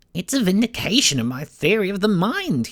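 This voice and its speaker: Pitched in the middle, a put-on character voice moves at a fairly quick pace with very wide pitch swings. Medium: read story.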